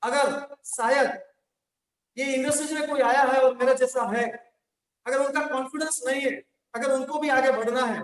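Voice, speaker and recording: Pitched extremely high, a man with a Gujarati accent speaks in monotone, flat intonation, leaving long, frequent pauses. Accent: Gujarati-accented Hindi. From Gujarat, India. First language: Gujarati (speaking Hindi). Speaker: network marketing trainer. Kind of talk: motivational training talk. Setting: online session via link.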